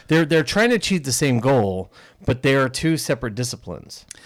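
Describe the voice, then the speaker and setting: On a very clean recording with a silent background, a normal speaking voice shows ordinary pitch variation. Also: man. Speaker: podcast host. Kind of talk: casual chat.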